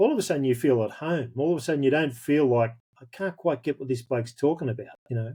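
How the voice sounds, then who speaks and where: With a rural Australian accent, a man talks at a fairly quick pace in a dark, mellow tone with ordinary pitch variation. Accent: broad rural Australian. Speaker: pastor. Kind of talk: interview.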